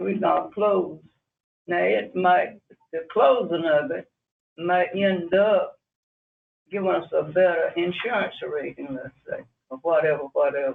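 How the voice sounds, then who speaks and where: A man with a North Carolina accent, a fairly slow pace, and long, frequent pauses. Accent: North Carolina Southern. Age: 80s+. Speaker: community resident. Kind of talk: public comment at county meeting. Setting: county commissioners meeting.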